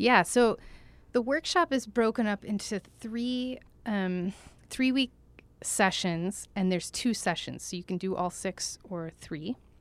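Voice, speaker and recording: In a very clean recording with a silent background, a woman with an American accent speaks in an unremarkable speaking voice at medium pitch, with ordinary pitch variation and a fairly slow pace. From Oklahoma (Tulsa). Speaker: dance choreographer. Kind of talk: casual interview chat. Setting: studio.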